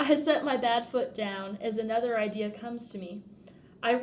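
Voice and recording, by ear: The passage is read aloud in a natural voice whose pitch varies an ordinary amount.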